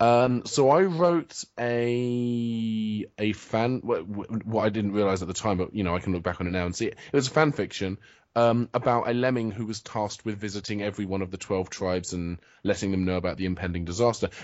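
In a British accent, a man talks at a fairly quick pace. His voice sits fairly low, with ordinary pitch variation. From England. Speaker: writer and web video creator. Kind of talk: casual interview chat. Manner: hesitant, self-deprecating, jokey.

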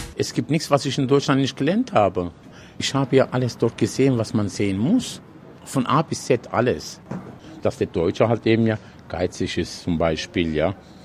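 A man with a normal speaking voice talks at a moderate pace, medium in pitch, with lively intonation. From Odenwald, Germany. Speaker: restaurant worker, Turkish returnee. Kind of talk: interview.

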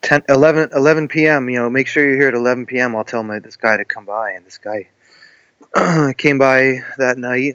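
A man with a plain, everyday voice talks at medium pitch and a moderate pace, keeping fairly even intonation amid big swings in loudness, in a dry, close sound with no echo. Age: 40s. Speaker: musician. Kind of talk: casual chat.

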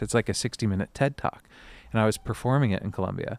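Very fast male speech, cleanly recorded with a silent background. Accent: American. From US West Coast. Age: 30s. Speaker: podcast host. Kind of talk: casual chat. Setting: outdoors.

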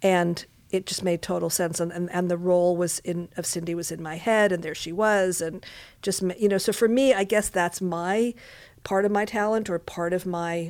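Speaking at a moderate pace, a woman has a plain, everyday voice, fairly low in pitch with fairly even intonation, in a very clean recording with a silent background. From Montreal, Quebec, Canada. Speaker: casting director and film director. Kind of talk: interview. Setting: studio.

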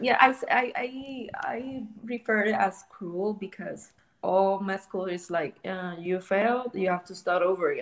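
A woman with a Spanish accent speaks at a medium pitch and a fairly slow pace. Her loudness swings widely. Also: ordinary pitch variation. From Puerto Rico. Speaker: clinical research coordinator. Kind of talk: casual interview. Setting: video call. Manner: halting.

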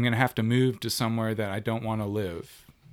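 A man speaks in a normal speaking voice at a medium pitch with fairly even intonation, on a very clean recording with a silent background. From South Carolina. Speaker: bartender and musician. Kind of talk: casual chat. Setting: home studio.

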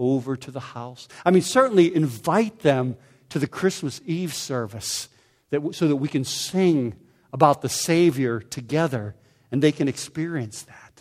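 At a fairly slow speed, a man talks in an ordinary speaking voice, his pitch moving in an ordinary way. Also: very clean recording, silent background. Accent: American. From Pittsburgh area, US. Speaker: pastor. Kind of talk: sermon.

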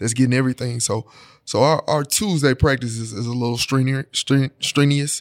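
With a Memphis accent, the speaker talks at a moderate pace with fairly even intonation, the sound dry and close with no echo. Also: man, medium pitch for a man. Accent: Southern US (Memphis). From Memphis, Tennessee. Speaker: high school football head coach. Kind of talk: casual interview.

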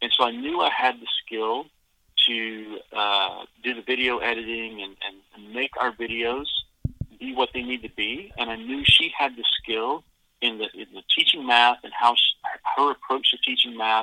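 A normal speaking voice from a man with an American accent, medium-pitched and fairly even in intonation, at a moderate pace with big swings in loudness. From US South, Georgia. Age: 40s. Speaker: homeschool curriculum founder, former TV producer. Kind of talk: interview.

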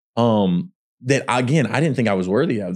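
Recorded very cleanly against a silent background, a man with a Texan accent speaks at a fairly low pitch with ordinary pitch variation. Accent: Southern US (Texan). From Texas. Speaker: actor. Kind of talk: casual interview chat.

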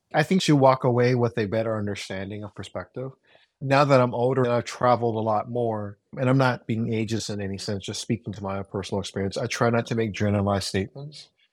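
In an American accent, a man speaks at a very fast pace with a medium pitch and ordinary pitch variation, on a very clean recording with a silent background. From Oakland, California (Vietnamese American). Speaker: chef and podcast host. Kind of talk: casual chat.

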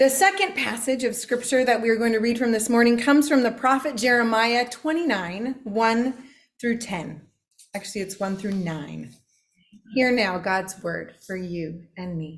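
Lively intonation marks a plain, everyday voice that keeps a moderate pace. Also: woman, fairly high pitch for a woman. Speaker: ministry intern preaching. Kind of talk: sermon. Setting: church.

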